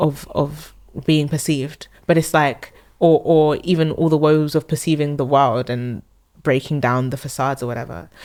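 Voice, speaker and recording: A very deep, low female voice in a London accent at a moderate pace. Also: fairly even intonation. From South London. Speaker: singer-songwriter. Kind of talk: casual interview chat. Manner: halting, many fillers.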